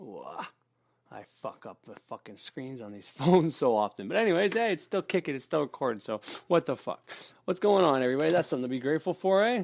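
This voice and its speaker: A man mumbles at a very fast pace, his pitch fairly high for a man. His voice has very wide pitch swings and big swings in loudness. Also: very clean recording, silent background. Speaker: occult podcaster. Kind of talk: casual monologue. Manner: mumbling.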